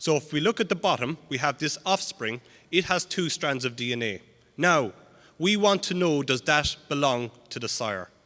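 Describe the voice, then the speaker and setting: A man's fairly high, bright, sharp voice moves at a moderate pace with lively intonation in a very clean recording with a silent background. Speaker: animal genetics researcher. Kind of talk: conference talk.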